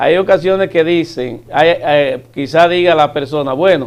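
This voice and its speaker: Here is a man with a normal speaking voice and a fairly high pitch. He talks at a fairly slow pace with lively intonation. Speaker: government official. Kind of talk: TV interview.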